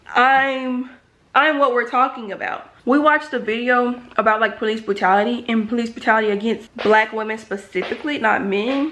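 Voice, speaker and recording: A loud, animated woman's voice, fairly high-pitched with a bright, sharp tone. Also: moderate pace. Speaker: college student vlogger. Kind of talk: casual vlog talk to camera.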